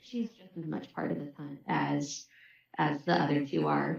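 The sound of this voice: Vocal fry runs through a fairly slow delivery with fairly even intonation. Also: woman, low pitch for a woman.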